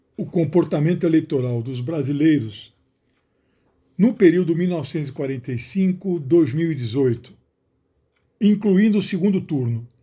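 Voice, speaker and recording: A man's dark, mellow, fairly high voice at a moderate pace, lively in intonation, with long, frequent pauses and a very clean recording over a silent background. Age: 60s. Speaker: sociologist and author. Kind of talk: book announcement monologue. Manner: some hesitations and restarts.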